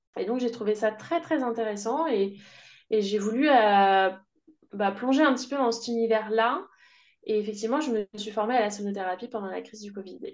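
An unremarkable speaking voice belongs to a woman with a fairly high pitch and ordinary pitch variation. She keeps a moderate pace while her loudness swings widely. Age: 30s. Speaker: sound therapist and voice coach. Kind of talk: casual interview.

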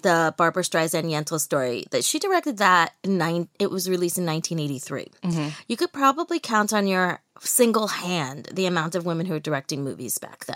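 A woman with an American accent speaks in a normal speaking voice at a medium pitch, with lively intonation, a moderate pace and hardly any pauses. The recording is very clean with a silent background and a dry, close sound with no echo. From US, New York (Brooklyn). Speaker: film festival founder and publisher. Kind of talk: interview.

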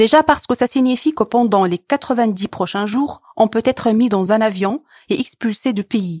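In a dry, close recording with no echo and a quiet background, a woman speaks slightly breathily at a fairly slow pace, her fairly high pitch showing ordinary variation. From Tunisia. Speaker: narrator and former doctoral student. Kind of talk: scripted narration.

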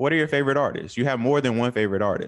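With a Southern US accent, a man speaks with ordinary pitch variation over a quiet background. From North Carolina. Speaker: writer and media founder. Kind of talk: casual interview chat.

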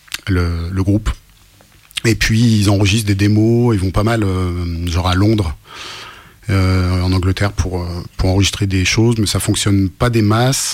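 Very deep and low, a man's fairly slow, fairly even-toned delivery. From France, urban upbringing. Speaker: author and rapper. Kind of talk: radio interview. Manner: halting with many repetitions.

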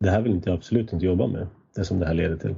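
A somewhat breathy man's voice at a very fast pace, with ordinary pitch variation. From Sweden. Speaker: podcast host. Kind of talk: casual chat.

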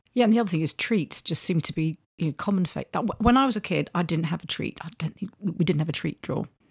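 A woman speaks at a very fast pace, somewhat breathy, with lively intonation. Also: fairly low pitch for a woman. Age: 50s. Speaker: podcast co-host. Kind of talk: casual chat. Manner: halting.

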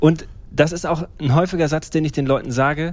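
This man speaks with a Thuringian accent. His pace is moderate. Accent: East German (Thuringian) dialect. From eastern Germany, Jena. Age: 40s. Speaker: marine biologist and conservationist. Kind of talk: casual interview chat.

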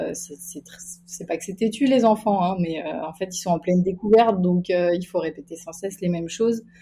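A woman has an unremarkable speaking voice, fairly low in pitch with ordinary pitch variation. She talks at a moderate pace, with big swings in loudness. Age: 20s. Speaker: stay-at-home mother. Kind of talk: casual interview.

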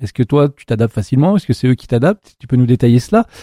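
Dry and close with no echo, this very clean recording with a silent background captures a man. His tone is dark and mellow at medium pitch. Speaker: podcast host. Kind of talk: interview. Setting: gym room, seated on a bench.

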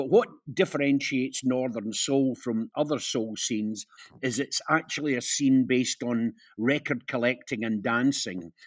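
In a dry, close sound with no echo and a very clean recording over a silent background, a man speaks at a medium pitch and moderate pace with ordinary pitch variation. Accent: Scottish. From Scotland, Perth. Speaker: author and broadcaster. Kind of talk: interview.

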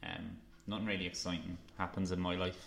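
This man's voice is very deep and low, and he talks at a fairly quick pace. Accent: Irish. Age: young. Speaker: podcast co-host, student journalist. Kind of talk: casual chat. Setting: studio table with mics.

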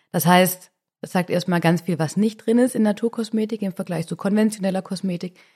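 A woman talks at a fairly quick pace with a dark, mellow tone and a somewhat breathy quality. The sound is dry and close with no echo, on a very clean recording with a silent background. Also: medium pitch for a woman, fairly even intonation. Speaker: cosmetics company executive. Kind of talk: casual chat.

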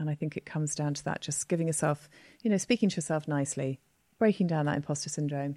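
This woman's pitch is very deep and low, with ordinary variation, and she talks very fast. The sound is dry and close without echo, on a very clean recording with a silent background. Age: 40s. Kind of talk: casual chat.

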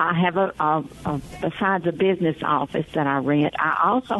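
A woman speaks at a moderate pace with ordinary pitch variation. Noticeable background noise runs behind her. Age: old. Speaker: caller, landlord. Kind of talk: call-in question. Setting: phone call.

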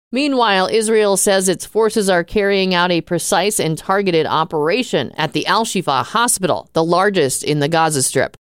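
A woman with a plain, everyday voice, lively intonation and a moderate pace, on a very clean recording with a silent background. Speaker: news host. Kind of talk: newsreading, brisk professional studio-style bulletin of headlines. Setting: studio. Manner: formal; steady, even-paced, neutral delivery.

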